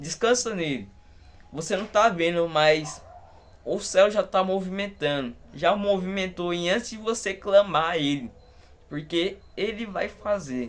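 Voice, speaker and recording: A man with a high pitch speaks fairly slowly with ordinary pitch variation. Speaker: lay preacher. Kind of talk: sermon. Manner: fervent.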